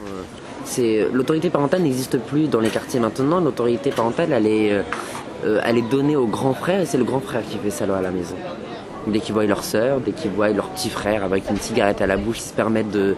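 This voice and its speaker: Talking at a very fast pace with lively intonation, a man at a medium pitch is heard through noticeable background noise and audible room echo. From France, Rouen suburbs, Algerian family. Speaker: youth interviewee. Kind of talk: documentary interview. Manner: hesitant, many fillers.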